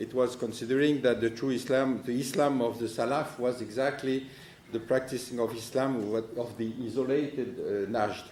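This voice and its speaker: Amid audible room echo, a man with a strong French accent speaks at a moderate pace, using a medium pitch and a monotone, flat intonation. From France. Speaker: political analyst. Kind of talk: conference talk. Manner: halting.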